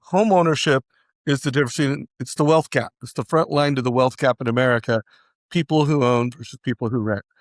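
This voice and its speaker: A man with a plain, everyday voice, fairly high in pitch with ordinary pitch variation, at a fairly quick pace, in a very clean recording with a silent background and a dry, close sound with no echo. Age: 60s. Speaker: mortgage tech founder. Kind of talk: interview.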